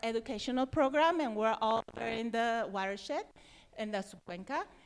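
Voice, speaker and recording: A woman talks with a Mexican accent in a fairly high pitch. The recording is very clean, the background silent. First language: Spanish. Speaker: environmental nonprofit worker. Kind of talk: presentation. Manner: halting.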